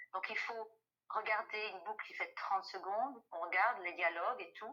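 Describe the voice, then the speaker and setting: A woman speaks at a moderate pace with lively intonation and a fairly high pitch. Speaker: voice actor. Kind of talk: interview answer.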